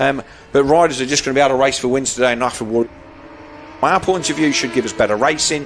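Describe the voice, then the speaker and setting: Very fast speech with fairly even intonation over noticeable background noise. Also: man, medium pitch for a man. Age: 60s. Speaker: motorsport commentator. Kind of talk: live commentary.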